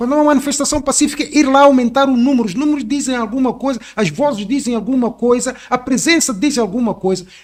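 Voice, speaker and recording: A man's extremely high-pitched voice, very fast and with hardly any pauses, with ordinary pitch variation. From Mozambique. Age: 60s. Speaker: activist. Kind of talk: podcast interview.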